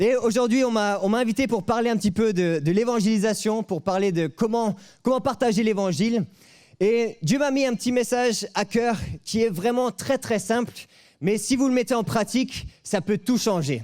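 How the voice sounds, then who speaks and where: Over a very clean recording with a silent background, a man speaks high with ordinary pitch variation and very even loudness. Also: moderate pace. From France. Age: 30s. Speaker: preacher, leader of a mission organization. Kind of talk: sermon. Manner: hesitant, many fillers; informal, interactive.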